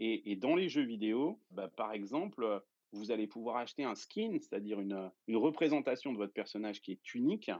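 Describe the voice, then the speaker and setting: Lively intonation from a man at medium pitch, delivered at a moderate pace. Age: 40s. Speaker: entrepreneur and investor. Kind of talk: interview explaining a tech topic. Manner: hesitant, many filler sounds.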